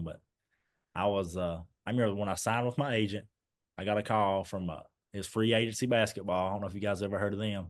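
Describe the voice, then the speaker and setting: This man speaks in an Eastern Kentucky accent at a fairly quick pace. His pitch is fairly low, and the background is quiet. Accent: Eastern Kentucky Appalachian. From Eastern Kentucky, Clay County. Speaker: former basketball player. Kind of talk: casual chat.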